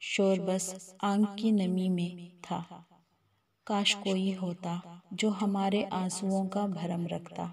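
Sounding sad, a woman speaks at a medium pitch with fairly even intonation and a somewhat breathy, dark, mellow tone. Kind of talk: Urdu poetry reading. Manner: sad, emotive.

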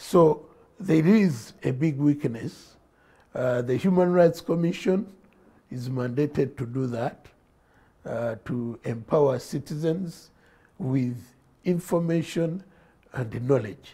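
A man's fairly high, dark and mellow voice, somewhat breathy, with lively intonation, a very slow pace and long, frequent pauses. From Uganda. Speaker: politician. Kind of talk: studio interview. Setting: studio. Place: studio. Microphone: lapel.

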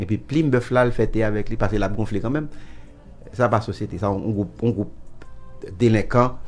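Speech at a fairly quick pace with ordinary pitch variation, broken by long, frequent pauses, over faint background music. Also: man, fairly low pitch for a man. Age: 70s. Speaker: musician. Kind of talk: interview answer. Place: studio. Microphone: studio mic.

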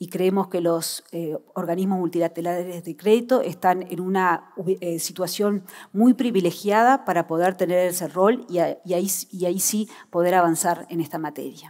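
Over a quiet background, a woman talks at a moderate pace, her intonation fairly even. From Uruguay. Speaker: government policymaker; panelist. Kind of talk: panel discussion. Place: stage. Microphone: headset.

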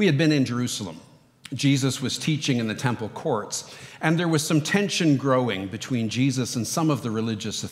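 This is an unforced reading voice. The words are simply read out.

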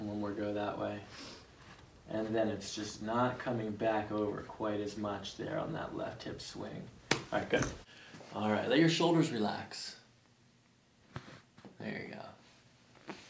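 Amid audible room echo and light background noise, a man talks at a fairly low pitch and a fairly slow pace with ordinary pitch variation and long, frequent pauses. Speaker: chiropractor. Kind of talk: clinical instruction and commentary. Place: office. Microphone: camera far.

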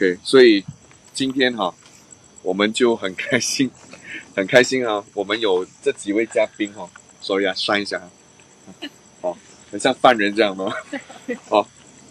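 A man with a fairly low pitch talks at a moderate pace with fairly even intonation and long, frequent pauses, in a dry sound with no echo. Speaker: paranormal storytelling show host, former police officer; paranormal storytelling show host. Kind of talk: ghost storytelling live stream. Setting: outdoors at night, live stream. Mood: relaxed, playful. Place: open country. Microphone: poor reception.

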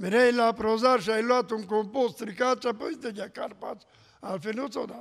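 The background is quiet. The speech moves at a moderate pace. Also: man, high pitch for a man. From Romania, Mureș county; Romania. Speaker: pastor. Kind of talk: testimony. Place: church. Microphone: podium.

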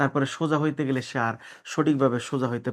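Against a very clean, silent background, a man with a plain, everyday voice speaks at a fairly high pitch with ordinary pitch variation. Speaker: manipulation therapist. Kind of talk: health explainer to camera.

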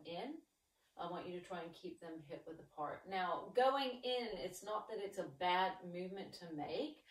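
A woman speaks with ordinary pitch variation, and the room echo is audible. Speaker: exercise instructor. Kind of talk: tutorial. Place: home room. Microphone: camera far.

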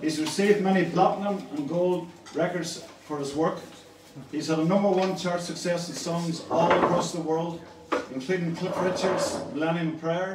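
The recording has audible room echo and noticeable background noise. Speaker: event host. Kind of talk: stage introduction. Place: hall.

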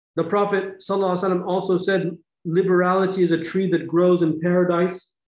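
Against a quiet background, a man with a high pitch speaks in a flat monotone, and the room echo is audible. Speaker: religious teacher. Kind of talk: lecture. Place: home room. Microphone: webcam.

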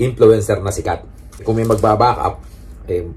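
This man's voice sits fairly low. He talks at a moderate pace. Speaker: YouTuber. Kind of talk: casual vlog chat. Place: home room. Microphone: phone near.

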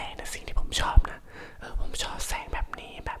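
A man whispers in a relaxed tone. Noticeable background noise is present. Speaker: ASMR content creator. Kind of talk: casual talk to camera about lighting equipment. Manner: relaxed, chatty, rambling.

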